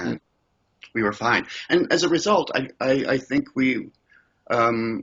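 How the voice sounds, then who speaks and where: With vocal fry and very wide pitch swings, a man speaks at a medium pitch. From Scotland, raised in Canada. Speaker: improv comedian. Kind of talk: interview answer.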